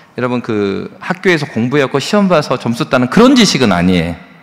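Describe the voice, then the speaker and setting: The pace is fairly quick. Pitch swings very widely. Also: man. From South Korea, South Jeolla (Yeonggwang, Gwangju). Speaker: pastor. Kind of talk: sermon. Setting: church. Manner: animated, conversational.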